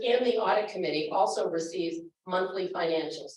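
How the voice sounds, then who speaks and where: Audible room echo surrounds the voice. The pace is moderate. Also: woman. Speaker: finance committee chair. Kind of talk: town hall presentation. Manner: loud.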